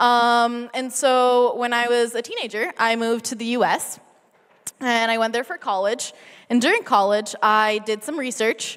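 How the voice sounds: A woman with an American accent, fairly high in pitch, with a fairly bright, clear, smooth tone, fairly even intonation and a fairly slow pace.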